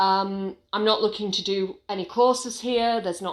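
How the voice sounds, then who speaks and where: On a very clean recording with a silent background, a woman with an English accent speaks at a moderate pace with fairly even intonation. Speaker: small business owner and vlogger. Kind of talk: casual vlog monologue. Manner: hesitant, with many fillers.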